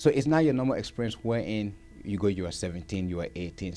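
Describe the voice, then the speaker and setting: A man's fairly low, dark and mellow voice, with lively intonation and a fairly quick pace. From Liberia. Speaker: war veteran. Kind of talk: interview.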